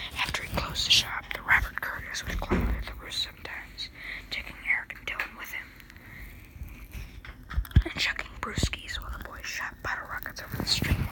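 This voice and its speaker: Over noticeable background noise, the speaker whispers. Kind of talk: ASMR book reading.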